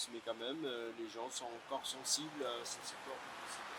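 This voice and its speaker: With fairly even intonation, a man talks at a medium pitch. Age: 60s. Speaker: bookseller. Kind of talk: interview. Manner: halting, many hesitations.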